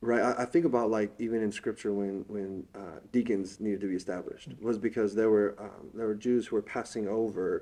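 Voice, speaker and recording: Speaking at a fairly quick pace with a Californian accent, a man uses a fairly low voice and fairly even intonation. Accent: Californian American English. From Southern California. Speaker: interviewee. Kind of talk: interview. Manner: halting, many fillers.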